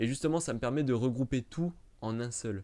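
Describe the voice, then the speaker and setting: A man's voice has a dark, mellow tone on a very clean recording with a silent background. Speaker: YouTuber, Star Wars channel. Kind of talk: live stream chat to camera. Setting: live stream in front of camera. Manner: fast; stumbling, hesitant.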